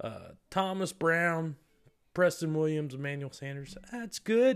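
A man varies his pitch ordinarily and holds a moderate pace on a very clean recording with a silent background. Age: 30s. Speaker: fantasy football podcast host. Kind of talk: solo podcast monologue, league preview. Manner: animated.

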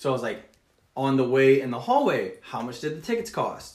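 A man with an American accent talks fairly quickly at a medium pitch, his somewhat breathy voice carrying lively intonation. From Texas. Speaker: Marine recruiter. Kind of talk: casual chat.

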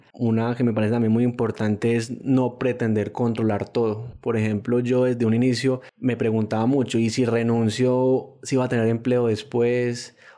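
A man's dark, mellow monotone with flat intonation, very even loudness and hardly any pauses. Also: medium pitch for a man, moderate pace. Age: 20s. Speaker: engineer and traveler. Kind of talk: interview storytelling.

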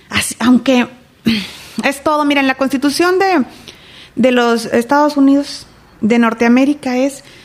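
Noticeable background noise surrounds a woman with a high pitch and fairly even intonation. She talks at a fairly slow pace with very even loudness and long, frequent pauses. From Mexico, Reynosa, Tamaulipas. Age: 40s. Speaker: political candidate. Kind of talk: interview.

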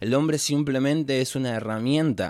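A man's fairly high voice with a Rioplatense accent, in a very clean recording with a silent background. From Argentina, Florencio Varela (south Greater Buenos Aires). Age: 20s. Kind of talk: solo reflective podcast monologue. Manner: spontaneous, hesitant with fillers.

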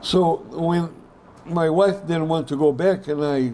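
A man speaks with a Brazilian accent. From Brazil, São Paulo. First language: Portuguese. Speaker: pediatric orthopedic surgeon. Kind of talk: interview storytelling. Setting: hotel interview set.

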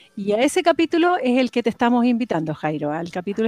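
Speaking very fast at a fairly high pitch, a woman is recorded with a dry, close sound and no echo. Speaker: podcast host, vegetable grower. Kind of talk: casual interview.

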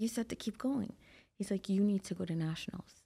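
This very clean recording with a silent background features a woman with a somewhat breathy voice, talking at a moderate pace with ordinary pitch variation. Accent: American. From Trinidad and Tobago. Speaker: bodybuilder and nurse practitioner. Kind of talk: casual interview chat. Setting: studio.

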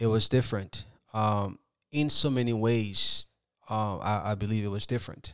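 On a very clean recording with a silent background, a man with an American accent speaks at a moderate pace, with a fairly low pitch and fairly even intonation. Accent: Liberian with Philadelphia American English. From Liberia, then Philadelphia from youth. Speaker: soccer academy founder. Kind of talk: interview.

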